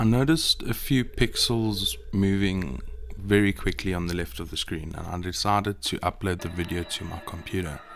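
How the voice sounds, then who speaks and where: With noticeable background noise behind him, a man with a South African accent talks at a moderate pace in a fairly low pitch and lively intonation. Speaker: video editor and YouTuber. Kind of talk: casual narration.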